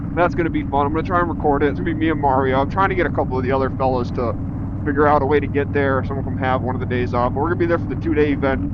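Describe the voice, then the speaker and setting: Speaking very fast with an American accent, a man at a medium pitch uses lively intonation over audible room echo and noticeable background noise. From Massachusetts, Spencer. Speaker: motorcycle vlogger. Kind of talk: casual vlog monologue while riding. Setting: riding a motorcycle, helmet cam. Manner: relaxed, halting with fillers.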